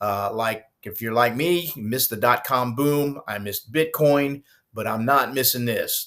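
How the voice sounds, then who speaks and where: A plain, everyday voice from a man, medium in pitch, at a fairly slow pace with ordinary pitch variation, in a very clean recording against a silent background. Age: 60s. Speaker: retired rock musician turned online entrepreneur. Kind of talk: screen-share walkthrough vlog. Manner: casual, with many fillers.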